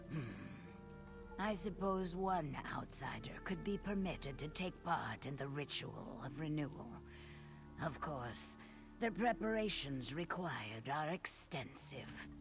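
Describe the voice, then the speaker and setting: A put-on character voice at middle pitch moves at a fairly slow pace with long, frequent pauses. Loud music plays in the background. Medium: video game. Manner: formal, guarded.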